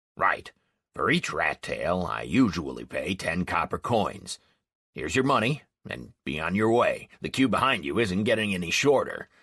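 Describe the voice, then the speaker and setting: Using a raspy, put-on character voice, a man speaks at a moderate pace with a dry, close sound and no echo. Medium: read story. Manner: brusque, impatient.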